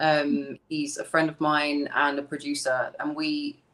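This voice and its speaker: Her pitch very deep and low, a woman speaks with a strong British accent in a bright, sharp tone. She talks at a fairly slow pace with ordinary pitch variation. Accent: thick British. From East London. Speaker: singer. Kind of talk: interview.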